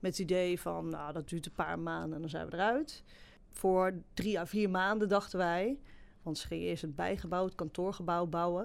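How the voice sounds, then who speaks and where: In a very clean recording with a silent background, a woman with a fairly low pitch speaks at a fairly quick pace with ordinary pitch variation. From Netherlands, Betuwe (Varik). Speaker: graphic designer. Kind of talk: interview. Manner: hesitant, many fillers.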